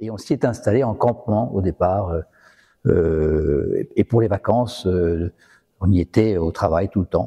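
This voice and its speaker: A man's dark, mellow voice is somewhat breathy, with ordinary pitch variation. The sound is dry and close with no echo, over a quiet background. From northern France, Valenciennes. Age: 60s. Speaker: retired business executive. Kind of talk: personal testimony interview. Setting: in a restored chapel. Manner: hesitant, many fillers.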